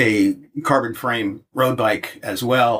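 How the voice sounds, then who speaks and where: A man talks with a northeastern American accent. His pitch is medium. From US, upstate New York. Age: 70s. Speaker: touring cyclist, former teacher. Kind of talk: podcast interview, casual chat. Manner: halting, many repeats and fillers.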